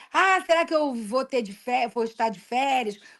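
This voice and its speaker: With ordinary pitch variation, a woman's voice sits high. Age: 60s. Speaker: retired school principal. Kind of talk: interview.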